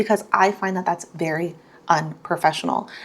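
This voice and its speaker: With an animated tone and vocal fry, a woman talks at a fairly quick pace. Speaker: beauty vlogger and microblading artist. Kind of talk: casual chat while doing makeup. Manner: fast.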